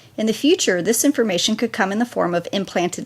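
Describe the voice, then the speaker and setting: With lively intonation, a woman speaks in a plain, everyday voice at a fairly high pitch. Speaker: political commentary vlogger. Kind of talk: commentary monologue.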